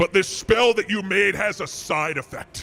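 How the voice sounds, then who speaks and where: A man puts on a high-pitched character voice, raised and projected. Faint music plays in the background. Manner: ominous, warning.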